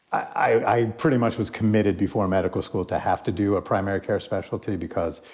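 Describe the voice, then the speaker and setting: Fairly low in pitch, a man with an American accent talks at a fairly quick pace with fairly even intonation. The recording is very clean and the background silent. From New Jersey. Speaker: primary care physician. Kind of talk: interview. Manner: halting, many fillers.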